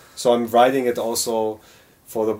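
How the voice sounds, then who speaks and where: A man's medium-pitched, monotone, flat delivery at a moderate pace, on a very clean recording with a silent background. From Germany. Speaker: actor. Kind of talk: casual chat.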